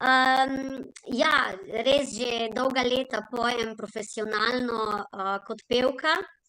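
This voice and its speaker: Speaking very slowly with a Slovenian accent, a woman has a high, bright, sharp tone and fairly even intonation. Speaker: singer, award recipient. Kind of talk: acceptance speech.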